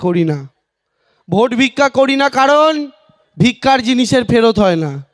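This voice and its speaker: In a dry, close sound with no echo, a man talks in an animated tone with lively intonation. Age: 20s. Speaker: political candidate. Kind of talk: campaign rally speech.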